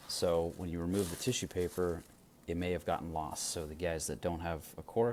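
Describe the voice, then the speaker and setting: The speaker is soft-spoken with fairly even intonation. The pace is moderate. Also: man. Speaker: pipe shop owner and video host. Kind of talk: casual product talk. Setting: at home late at night. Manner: quiet, soft-spoken; hesitant, many fillers.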